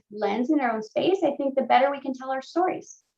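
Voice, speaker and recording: Speaking with a Spanish accent, a woman uses a high pitch and lively intonation. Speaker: panelist. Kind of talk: panel discussion.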